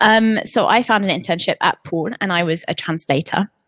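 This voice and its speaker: With an English accent, a woman speaks at a moderate pace with ordinary pitch variation, in a dry, close sound with no echo. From England. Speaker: marketing executive and editor. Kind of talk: interview conversation.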